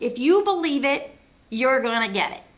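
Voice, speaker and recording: Amid noticeable background noise and audible room echo, a woman talks in a high pitch with very wide pitch swings. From US Midwest. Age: 70s. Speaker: talk show host. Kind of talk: interview.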